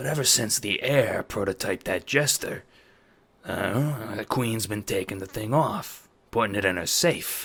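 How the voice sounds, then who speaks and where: A raspy, put-on character voice at a moderate pace. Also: man, medium pitch for a man. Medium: audio drama. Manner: slow, measured, spellbinding.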